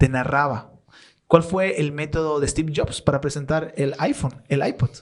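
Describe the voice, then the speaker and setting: A normal speaking voice at a fairly slow pace. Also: man. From Bolivia. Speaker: content creator and storyteller. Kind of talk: podcast interview answer.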